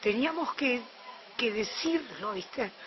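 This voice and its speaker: A woman with a Rioplatense accent speaks at a fairly slow pace with lively intonation, over noticeable background noise. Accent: Argentine Rioplatense Spanish. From Argentina, Buenos Aires. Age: 60s. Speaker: eyewitness. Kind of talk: testimony.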